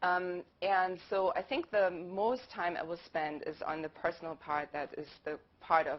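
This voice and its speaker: A woman's fairly low voice in a German accent, at a moderate pace with ordinary pitch variation. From Germany. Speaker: university lecturer. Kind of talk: panel talk.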